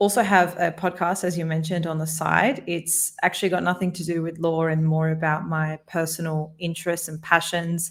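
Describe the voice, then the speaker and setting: Monotone, flat delivery with an Australian accent on a very clean recording with a silent background. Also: woman. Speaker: podcast host and corporate lawyer. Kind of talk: interview conversation.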